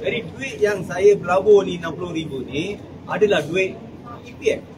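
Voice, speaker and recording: Through noticeable background noise and audible room echo, a man speaks at a high pitch. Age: 60s. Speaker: scam victim giving testimony. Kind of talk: testimony. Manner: halting.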